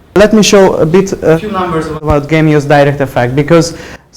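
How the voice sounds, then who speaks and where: A man with a fairly high pitch talks fairly quickly while noticeable background noise carries on behind him. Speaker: presenter. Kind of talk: business presentation. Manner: fast; hesitant with fillers.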